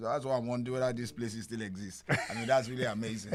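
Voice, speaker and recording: In a very clean recording with a silent background, a man speaks at medium pitch. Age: 50s. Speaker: podcast interviewer. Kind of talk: interview. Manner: halting.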